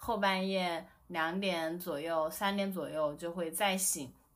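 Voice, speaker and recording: A woman talks at a fairly slow pace, and audible room echo follows her words. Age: 30s. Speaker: new mother, guest. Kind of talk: casual chat.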